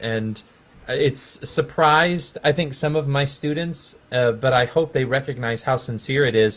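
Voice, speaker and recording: Somewhat breathy and at medium pitch, a man talks at a moderate pace with fairly even intonation. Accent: American. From Texas. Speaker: music education professor. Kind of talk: casual chat.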